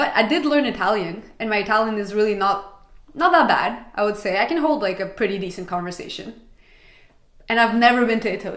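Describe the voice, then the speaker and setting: A woman's fairly high voice at a fairly quick pace, with lively intonation over noticeable background noise. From Montreal, Quebec, Canada. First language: Russian. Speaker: travel vlogger. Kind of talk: casual vlog talk.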